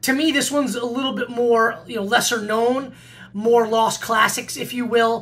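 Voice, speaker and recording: A man is speaking. His voice is raised and projected. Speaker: metal vinyl collector vlogger. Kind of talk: casual vlog chat. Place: home room. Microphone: webcam.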